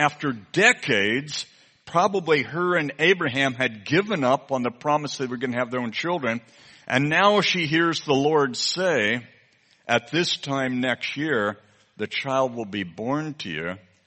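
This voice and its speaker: This man has a plain, everyday voice, pitched fairly high for a man. His intonation is lively and his pace fairly slow. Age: 60s. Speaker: visiting preacher. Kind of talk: sermon.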